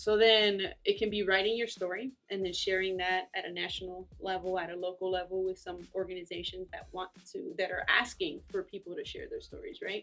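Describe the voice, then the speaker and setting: A woman with a Spanish accent, a fairly quick pace, hardly any pauses and monotone, flat intonation. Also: medium pitch for a woman. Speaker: immigrant advocacy organizer. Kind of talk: interview. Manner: halting, many fillers.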